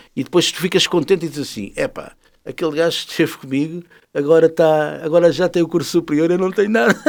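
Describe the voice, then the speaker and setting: A man with a high pitch, talking at a very fast pace, in a very clean recording over a silent background. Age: 60s. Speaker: musician and jazz festival organizer. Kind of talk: interview. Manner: animated.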